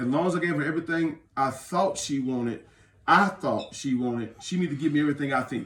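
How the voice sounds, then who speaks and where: Talking at a very fast pace, a man with a fairly high pitch sounds animated and uses ordinary pitch variation. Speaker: pastor. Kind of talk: casual chat. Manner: soft-spoken.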